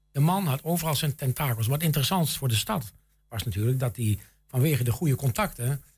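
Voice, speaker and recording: A man's somewhat breathy voice at medium pitch, fairly quick and lively in intonation, on a very clean recording with a silent background. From Enschede, Twente, eastern Netherlands. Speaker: local history society chairman. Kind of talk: radio interview.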